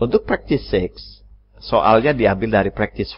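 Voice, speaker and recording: A man speaks at a moderate pace. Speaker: English teacher. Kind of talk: language lesson.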